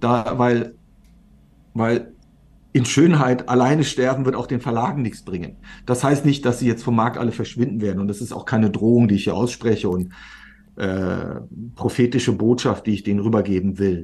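A man of medium pitch speaks at a moderate pace with ordinary pitch variation. He takes long, frequent pauses. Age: 50s. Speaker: serial entrepreneur, media startup founder. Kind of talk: interview conversation.

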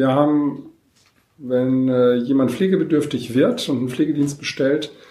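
Audible room echo follows a man speaking at a medium pitch and a moderate pace, with ordinary pitch variation. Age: 50s. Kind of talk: interview. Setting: in person at guest's location, not studio.

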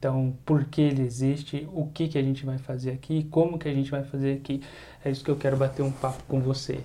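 A man talks fairly quickly in a fairly high, somewhat breathy voice with a dark, mellow tone. His intonation is monotone and flat. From Brazil, Campinas (São Paulo state). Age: 20s. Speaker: Bible teacher and podcast host. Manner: talkative.

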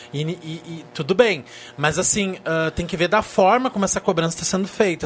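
A man with a high voice talks at a fairly quick pace with lively intonation over noticeable background noise. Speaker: journalist panelist. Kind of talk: casual chat.

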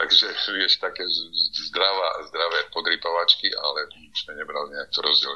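Moderate speed from a male speaker, background noise clearly audible. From eastern Slovakia. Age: old. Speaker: construction worker. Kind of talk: interview.

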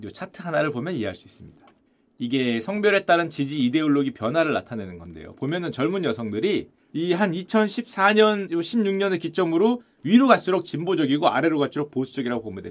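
Pitch swinging very widely and loudness rising and falling sharply, a man talks at a fairly quick pace in a fairly high voice. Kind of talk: casual lecture commenting on a news article. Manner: animated.

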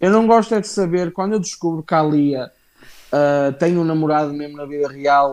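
This speaker has a European Portuguese accent and talks at a moderate pace. Pitch variation is ordinary, and the background is quiet. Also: man, fairly high pitch for a man. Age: 20s. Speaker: wrestling podcast host. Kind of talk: casual chat. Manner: animated.

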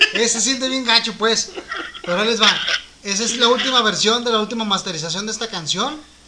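A man's raised, projected voice with a Mexican accent, a fairly quick pace and ordinary pitch variation, against noticeable background noise. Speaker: musician and co-host. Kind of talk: casual chat about music. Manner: explanatory, hesitant with fillers.

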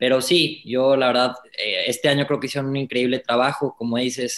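Using a plain, everyday voice, a man speaks at a moderate pace. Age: 20s. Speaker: racing driver. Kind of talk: interview.

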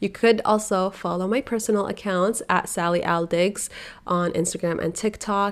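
A woman speaks fairly slowly, her pitch varying in an ordinary way. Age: 20s. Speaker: podcast host and stay-at-home mom influencer. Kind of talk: casual solo podcast chat. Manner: animated.

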